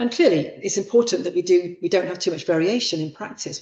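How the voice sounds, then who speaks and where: This woman talks at a very fast pace. Her pitch varies in an ordinary way. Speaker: professor giving a guest lecture on childbirth. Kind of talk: lecture. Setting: lecture hall with live audience and online stream.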